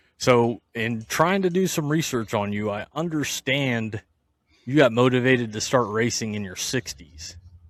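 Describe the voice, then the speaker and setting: Using an ordinary speaking voice, a man speaks at a medium pitch and moderate pace with lively intonation. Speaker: podcast host. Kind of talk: podcast interview questions.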